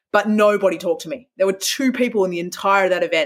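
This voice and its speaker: With an Australian accent, a woman speaks at a very fast pace with ordinary pitch variation. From Western Australia, Perth. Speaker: speaker and author. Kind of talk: interview.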